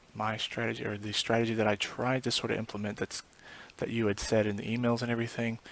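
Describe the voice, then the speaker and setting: A quiet, fairly low-pitched man's voice, fairly quick, with fairly even intonation. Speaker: forex trader recording a screen tutorial. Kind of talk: screen-recorded tutorial. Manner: quiet, speaking low; halting, many fillers.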